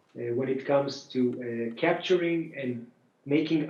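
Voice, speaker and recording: A man with a non-native accent speaks at a moderate pace with fairly even intonation, and audible room echo surrounds him. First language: not English. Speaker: autonomous driving executive. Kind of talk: panel discussion. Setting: video call. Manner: halting, many fillers.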